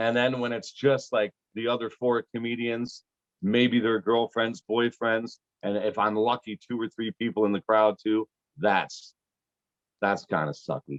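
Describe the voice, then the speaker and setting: This man has an ordinary speaking voice, talking at a fairly slow pace with an American accent, a medium pitch and ordinary pitch variation. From Pittsburgh, US. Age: 40s. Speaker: comedian. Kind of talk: casual chat. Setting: video call.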